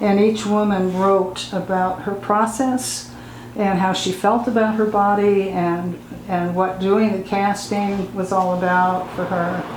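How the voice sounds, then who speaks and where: A woman speaks at a fairly slow pace with fairly even intonation. There is noticeable background noise. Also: medium pitch for a woman. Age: 80s+. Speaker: artist and activist. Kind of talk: oral history interview answer.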